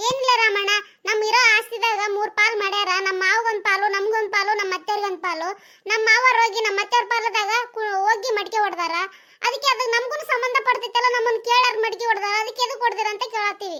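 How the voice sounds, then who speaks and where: In a cartoonish character voice, a woman talks at a moderate pace, her pitch extremely high and her intonation fairly even. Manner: sharp, needling.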